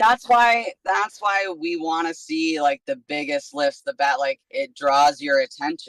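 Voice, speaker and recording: A woman with a fairly low pitch makes very wide pitch swings, with hardly any pauses, in a dry, close sound with no echo. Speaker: strongman athlete. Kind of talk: casual interview chat. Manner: animated.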